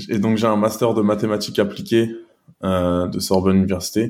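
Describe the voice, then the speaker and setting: Flat and monotone, a man's fairly low voice has a dark, mellow tone. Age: 20s. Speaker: data scientist and startup co-founder. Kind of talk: interview. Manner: halting, many repetitions.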